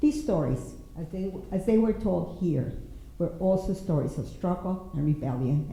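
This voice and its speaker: The speaker has a Spanish accent and lively intonation. Audible room echo surrounds the voice. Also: woman. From Mexico. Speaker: poet and writer. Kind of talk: prepared panel talk.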